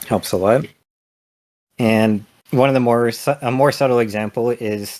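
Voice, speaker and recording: With fairly even intonation, a man talks at a moderate pace in a very clean recording with a silent background. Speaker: indie game developer. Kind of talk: conference lightning talk.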